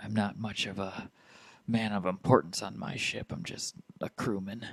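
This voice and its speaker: A man uses a put-on character voice that is raspy and fairly low-pitched. He keeps a moderate pace. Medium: actual play. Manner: nervous, deferential, keeps saying sir.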